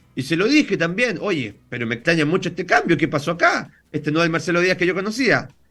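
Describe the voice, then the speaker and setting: A bright, sharp tone in a Chilean accent, with lively intonation at a fairly quick pace. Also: man. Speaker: lawyer and political TV panelist. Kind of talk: interview. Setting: video call. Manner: fast; animated.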